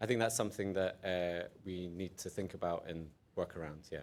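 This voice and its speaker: A man talks with an Edinburgh accent. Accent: Scottish (Edinburgh). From Scotland, Edinburgh. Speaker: conference speaker, researcher. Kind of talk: conference Q&A.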